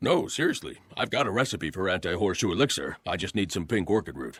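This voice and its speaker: In a cartoonish character voice, a man talks at a very fast pace with lively intonation and a fairly low pitch, on a very clean recording with a silent background. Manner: dry, offhand.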